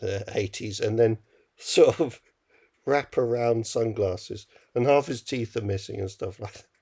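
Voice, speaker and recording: This man has a dark, mellow tone at medium pitch, somewhat breathy. He speaks at a fairly slow pace with fairly even intonation. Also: big swings in loudness. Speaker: film podcast co-host. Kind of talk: casual chat. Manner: halting.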